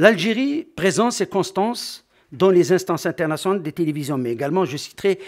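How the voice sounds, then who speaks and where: The background is quiet, and the man's intonation is lively. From Algeria. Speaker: conference speaker on sports media; conference speaker. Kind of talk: conference talk. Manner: formal. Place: hall. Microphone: podium.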